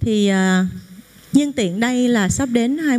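At a very slow pace, a woman speaks. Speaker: actress thanking mentors. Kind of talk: emotional thank-you speech. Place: hall.

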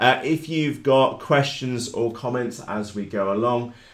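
A man with fairly even intonation and audible room echo. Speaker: hobby channel host. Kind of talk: live stream chat. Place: workshop.

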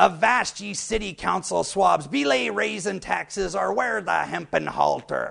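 A man does a put-on character voice. It is fairly high-pitched and moves at a moderate pace. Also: hardly any pauses. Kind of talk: humorous TV segment to camera. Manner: playful, jokey.

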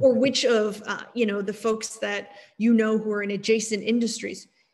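A woman talks at a moderate pace with an American accent. Her voice is fairly high and somewhat breathy. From Texas, Austin; Texas. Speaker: technology executive; guest. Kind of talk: interview. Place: home room. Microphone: video call.

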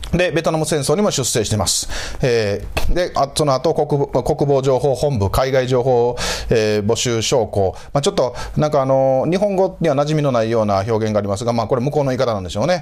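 A man talks at a fairly quick pace with lively intonation, hardly any pauses and very even loudness. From Japan, Osaka. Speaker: historian and channel host; channel host. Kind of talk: solo lecture-style commentary. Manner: frequent filler hesitations. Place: home room. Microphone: lapel.

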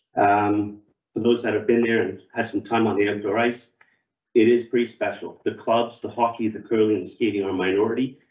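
Spoken at a fairly quick pace in a flat monotone, the voice has audible room echo over a quiet background. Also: man, medium pitch for a man. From Canada, Toronto. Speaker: ice rink club volunteer; presenter. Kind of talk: public forum presentation. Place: meeting room. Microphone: camera far.

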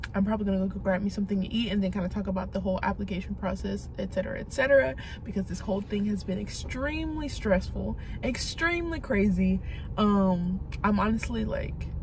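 Amid noticeable background noise, a woman speaks at a very fast pace, the sound dry with no echo. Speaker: vlogger. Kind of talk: casual vlog chat. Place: car. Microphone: phone near.

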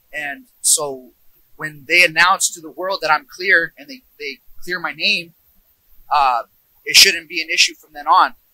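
At a moderate pace, a man with a high pitch and a bright, sharp tone speaks with fairly even intonation in a dry sound with no echo. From US, Yuba City California, Mexican family; California. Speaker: kabaddi player. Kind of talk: interview. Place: open country. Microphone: handheld.

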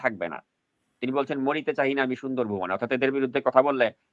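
A man with an unremarkable speaking voice talks at a fairly high pitch. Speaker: political news show host. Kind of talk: political commentary interview.

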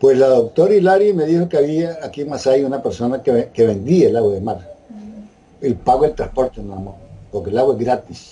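A man speaks with a Nicaraguan accent. His intonation is lively and his pace fairly quick. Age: 80s+. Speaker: interviewee sharing health testimony. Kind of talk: interview answer. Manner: casual, conversational. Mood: calm, earnest. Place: home room. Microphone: video call.

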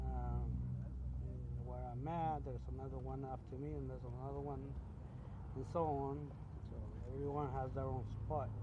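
Loud background noise fills the clip as a man speaks. He keeps a moderate pace with long, frequent pauses. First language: Spanish. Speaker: truck driver vlogger. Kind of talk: casual vlog monologue. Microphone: phone near.

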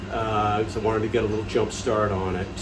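A man talks at a moderate pace while noticeable background noise plays behind him. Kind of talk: tutorial. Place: kitchen. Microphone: phone near.

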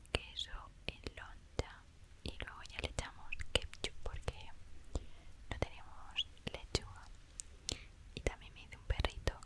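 Noticeable background noise behind a woman's very slow whisper. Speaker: ASMR artist. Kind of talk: ASMR storytime. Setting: close to the microphone. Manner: whispered, soft-spoken.

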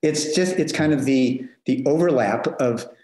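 A man with an American accent, a normal speaking voice and a moderate pace. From Denver, Colorado, US. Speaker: nonprofit leader. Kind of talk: casual interview.

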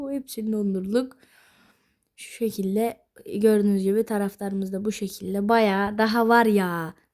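A woman speaks fairly slowly in a flat monotone, her loudness rising and falling sharply. The recording is very clean, with a silent background. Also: medium pitch for a woman. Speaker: gaming youtuber. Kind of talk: gameplay commentary. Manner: loud, shouting.

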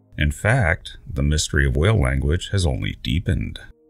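Music plays in the background as a man speaks in a very deep, low pitch. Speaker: science channel narrator. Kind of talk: documentary narration.

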